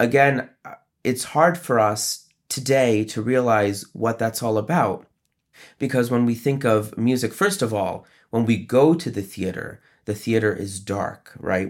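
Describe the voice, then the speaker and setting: A man with an American accent has a plain, everyday voice at medium pitch with ordinary pitch variation. The recording is very clean, with a silent background. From upstate New York. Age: 30s. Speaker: opera conductor. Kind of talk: interview.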